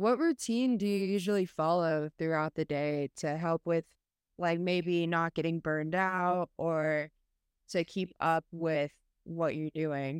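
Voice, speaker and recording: An ordinary speaking voice at a fairly slow pace with fairly even intonation, on a very clean recording with a silent background. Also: woman, fairly low pitch for a woman. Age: young. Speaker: podcast host. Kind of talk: interview.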